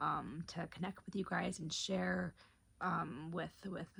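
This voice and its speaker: A soft-spoken, whispering woman at a fairly slow pace. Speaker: lifestyle vlogger. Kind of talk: casual vlog to camera. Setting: at home late at night. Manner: soft-spoken, near whisper; rambling with hesitations.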